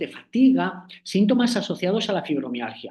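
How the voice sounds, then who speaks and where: A man speaks at a moderate pace with a dark, mellow tone. Audible room echo surrounds the voice. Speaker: acupuncture professor. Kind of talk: online lecture. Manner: hesitant, many fillers.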